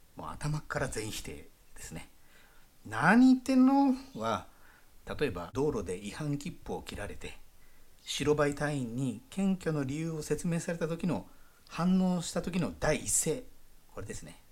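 The delivery is fairly slow with long, frequent pauses, on a very clean recording with a silent background. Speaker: podcast host, Japanese expat in Indonesia. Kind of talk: casual solo monologue with dialect segments. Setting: audio broadcast, solo.

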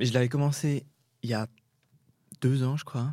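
At a fairly slow pace, a man speaks in a dark, mellow tone with fairly even intonation. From Switzerland, Jura. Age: 20s. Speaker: student musician. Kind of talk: interview. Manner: halting, many hesitations.

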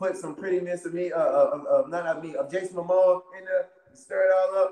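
A man speaks at a fairly quick pace in an American accent. His pitch is high, and his loudness swings widely. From US South, Wilmington, North Carolina. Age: 30s. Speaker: professional wrestler. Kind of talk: casual interview. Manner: animated.

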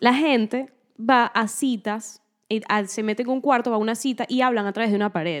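This woman has a plain, everyday voice, pitched fairly high. She speaks at a moderate pace with ordinary pitch variation. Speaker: podcast co-host. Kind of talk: casual chat.

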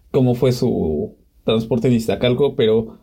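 A man's dark, mellow tone comes through somewhat breathy. He keeps a moderate pace. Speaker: podcast co-host. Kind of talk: casual chat.

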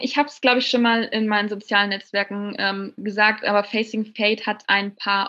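A woman at a fairly high pitch, speaking at a moderate pace with hardly any pauses. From Bavaria, near Munich. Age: 20s. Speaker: novelist. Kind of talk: interview.

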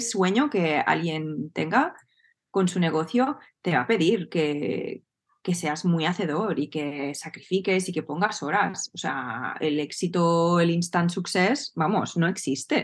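Lively intonation at a very slow pace. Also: woman. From Spain, Barcelona. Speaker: entrepreneur and business coach. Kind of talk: casual interview chat.

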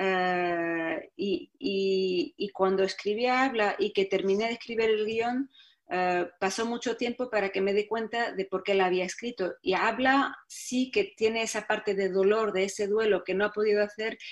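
Against a quiet background, a woman with a medium pitch speaks at a fairly slow pace with ordinary pitch variation and hardly any pauses. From Morocco, Tangier. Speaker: film director and actress. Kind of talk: interview. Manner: halting, many repetitions.

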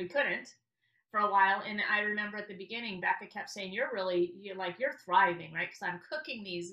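The speaker has an unremarkable speaking voice with ordinary pitch variation at a fairly quick pace. Loudness swings widely. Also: woman, medium pitch for a woman. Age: 50s. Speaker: real estate company manager. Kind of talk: casual chat.

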